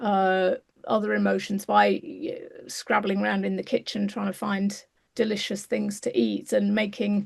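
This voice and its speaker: In an English accent, a woman is speaking. Her pace is moderate. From England. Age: 60s. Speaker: clinical psychologist. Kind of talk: interview. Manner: halting.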